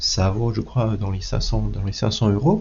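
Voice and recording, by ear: The man's pitch is fairly low and his tone slightly mellow. He keeps a moderate pace with fairly even intonation.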